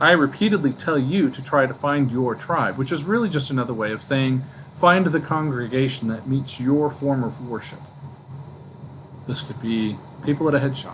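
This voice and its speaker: A man at medium pitch and a moderate pace, with ordinary pitch variation, long, frequent pauses and noticeable background noise. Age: old. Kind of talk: casual book discussion to camera.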